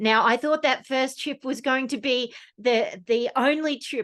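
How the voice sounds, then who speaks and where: Against a quiet background, a woman with an Australian accent talks at a fairly slow pace with ordinary pitch variation. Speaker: snowkiting guide and presenter. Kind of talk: presentation talk. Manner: hesitant with fillers.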